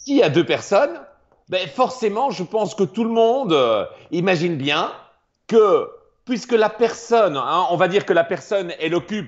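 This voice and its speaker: With long, frequent pauses, a man talks in a high voice with lively intonation. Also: moderate pace. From Belgium. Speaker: math popularizer and performer. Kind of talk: explanatory lecture in a live stream. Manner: animated.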